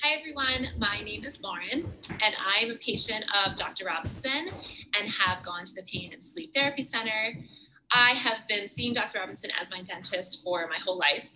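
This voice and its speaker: A woman talks at a moderate pace with lively intonation and big swings in loudness over light background noise. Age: 20s. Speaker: patient. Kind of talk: testimony. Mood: warm, grateful. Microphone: webcam.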